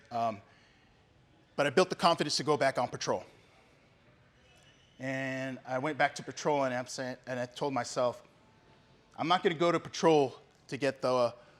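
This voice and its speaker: Speaking at a moderate pace with long, frequent pauses, a man uses a medium pitch and ordinary pitch variation. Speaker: law enforcement officer giving testimony. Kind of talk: testimony. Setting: men's breakfast with live audience. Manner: loud and clear.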